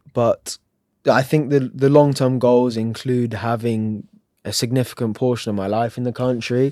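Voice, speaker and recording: A man speaks with an English accent at a moderate pace and a medium pitch. His tone is dark and mellow, and his intonation stays flat and monotone. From England. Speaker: humanitarian aid volunteer. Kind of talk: interview.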